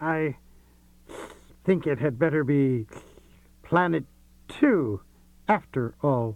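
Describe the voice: A man does a strained, put-on character voice at a fairly high pitch and a very slow pace, with lively intonation.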